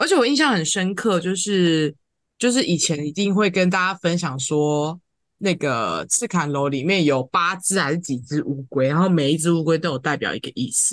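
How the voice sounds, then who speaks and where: Here a woman speaks at a fairly low pitch. She has an ordinary speaking voice. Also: lively intonation, moderate pace. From Taiwan, Tainan. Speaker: podcast co-host. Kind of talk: casual chat.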